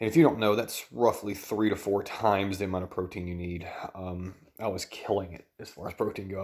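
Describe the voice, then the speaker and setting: Quiet but with big swings in loudness, a man with a Southern US accent speaks very fast at a fairly low pitch, his intonation fairly even. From US South. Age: 30s. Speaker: dietitian and vlogger. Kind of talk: personal vlog. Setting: at home at night.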